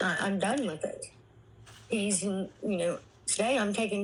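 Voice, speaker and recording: A woman with a medium pitch sounds somewhat breathy, her pitch varying in an ordinary way. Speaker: abuse survivor sharing life story. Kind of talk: testimony. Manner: halting.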